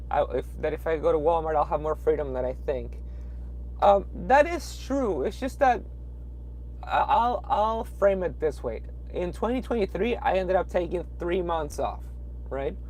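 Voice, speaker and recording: Long, frequent pauses break up a man's moderate-paced speech. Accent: Peruvian. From Peru. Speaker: truck driver. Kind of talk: live stream chat. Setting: in a truck at a truck stop. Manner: hesitant, many fillers.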